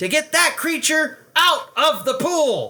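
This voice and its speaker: A man performs a put-on character voice at an extremely high pitch. He delivers it at a fairly slow pace. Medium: read story. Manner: loud.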